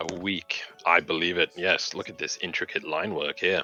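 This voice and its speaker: Pitching his voice very deep and low, a man performs a put-on character voice. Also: moderate pace. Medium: actual play. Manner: courtly, smooth, condescending.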